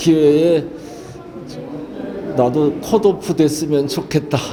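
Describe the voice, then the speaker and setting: A man's fairly high-pitched voice with fairly even intonation, plus noticeable background noise and audible room echo. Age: 70s. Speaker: painter and poet. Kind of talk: interview. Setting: gallery exhibition opening. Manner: halting, many filler sounds.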